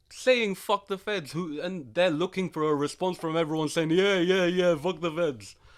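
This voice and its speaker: In a London accent, a man speaks with a high pitch. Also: ordinary pitch variation, moderate pace. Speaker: podcast co-host. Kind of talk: casual chat.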